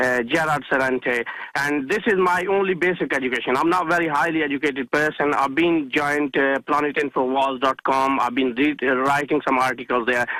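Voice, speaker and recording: With a Pakistani accent, a man speaks at a moderate pace in a bright, sharp tone, his fairly high pitch held in fairly even intonation. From Pakistan, village. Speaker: caller. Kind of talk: radio call-in. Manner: halting.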